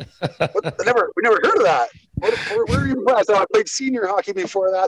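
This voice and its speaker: With a western Canadian accent, a man speaks in a dry, close recording with no echo. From western Canada, Squamish BC. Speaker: former hockey enforcer. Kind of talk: casual interview chat.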